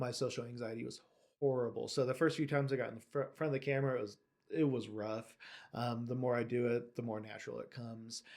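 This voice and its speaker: Very fast and monotone, with flat intonation, a man talks at a medium pitch. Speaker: bike shop owner and YouTuber. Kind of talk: casual vlog monologue. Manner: occasionally stumbles over words.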